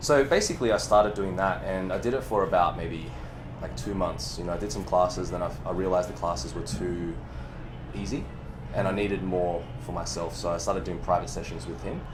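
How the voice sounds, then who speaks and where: A man's very deep, low voice at a fairly quick pace with lively intonation, audible room echo, and music in the background. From Chinese background, raised in the West. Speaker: movement coach. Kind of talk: casual chat. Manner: animated.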